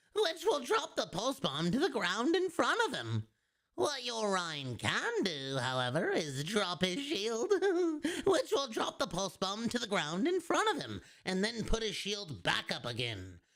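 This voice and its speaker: A man puts on a guttural character voice with a high pitch. He speaks at a moderate pace. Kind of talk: game strategy guide narration. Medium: game stream. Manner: instructive, repeated takes.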